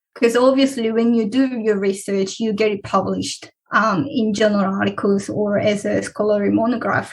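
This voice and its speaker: A woman with a Korean accent and a fairly high voice, at a moderate pace with ordinary pitch variation. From South Korea. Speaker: PhD researcher. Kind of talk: interview.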